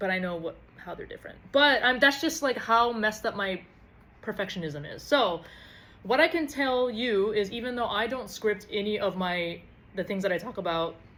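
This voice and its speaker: Bright, sharp tone with lively intonation and big swings in loudness. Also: woman, fairly high pitch for a woman. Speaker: podcast host. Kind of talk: casual vlog monologue. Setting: recording to camera. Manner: fast; animated.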